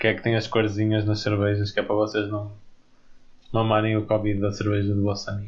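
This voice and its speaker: A man's fairly low, somewhat breathy voice in a monotone, flat intonation, at a very fast pace with long, frequent pauses. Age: 20s. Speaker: podcast co-host, engineering student. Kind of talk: casual chat.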